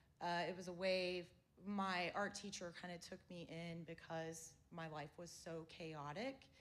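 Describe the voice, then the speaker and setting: In an American accent, a woman with a fairly low pitch speaks at a very slow pace with fairly even intonation, and audible room echo surrounds her. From US South, Florida Panhandle (Panama City). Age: 40s. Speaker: visual artist and gallery curator. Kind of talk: artist talk. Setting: theater with small audience.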